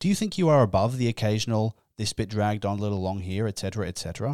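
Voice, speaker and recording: An animated man with an Australian accent at a very fast pace, fairly low in pitch with ordinary variation, in a very clean, dry, close recording with no echo and a silent background. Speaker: comedian and podcaster. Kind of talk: solo comedic podcast monologue. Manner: animated, self-deprecating.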